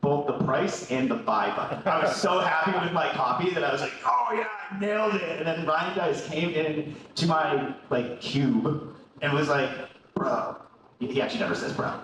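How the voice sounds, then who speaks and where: Lively intonation marks this man's fairly high voice, heard over noticeable background noise and audible room echo. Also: moderate pace. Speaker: marketing executive giving a conference talk. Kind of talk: conference presentation. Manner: casual, animated.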